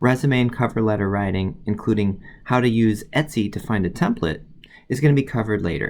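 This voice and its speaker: A man with an American accent, lively intonation, medium pitch and a fairly quick pace. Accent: Midwestern, slight, occasionally slips out. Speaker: college biology instructor. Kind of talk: tutorial. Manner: casual, many filler words.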